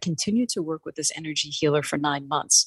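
A somewhat breathy woman with an American accent talks at a fairly quick pace with ordinary pitch variation. The sound is dry and close with no echo. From New York City. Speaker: life coach and author. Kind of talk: interview.

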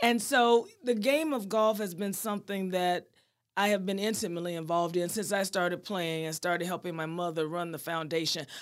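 A woman speaks with an unremarkable speaking voice at medium pitch. Her pace is fairly quick, and her pitch varies in an ordinary way. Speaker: golf foundation president. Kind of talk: interview.

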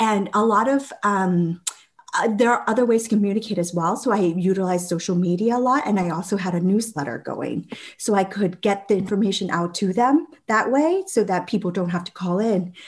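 Somewhat breathy, a woman talks at a fairly quick pace with a New England accent. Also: medium pitch for a woman, ordinary pitch variation. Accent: American, New England. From Vietnam, raised in Massachusetts from age five. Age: 30s. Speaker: state legislator. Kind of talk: interview.

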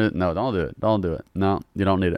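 A man with an American accent speaks in a fairly low, animated voice on a very clean recording with a silent background. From Louisiana. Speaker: comedy internet creator and car enthusiast. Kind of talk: casual podcast chat. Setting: podcast recorded in a car detailing shop. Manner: casual, joking, animated.

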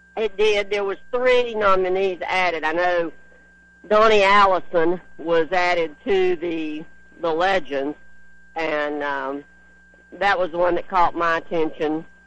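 A man's high voice at a fairly slow pace, with ordinary pitch variation and noticeable background noise. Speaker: motorsports journalist. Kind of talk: casual radio chat. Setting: phone call from race track.

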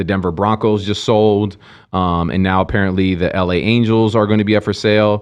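A plain, everyday voice with an American accent goes at a fairly quick pace, with fairly even intonation and very even loudness. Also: man, fairly low pitch for a man. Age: 40s. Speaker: podcast co-host. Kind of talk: casual chat.

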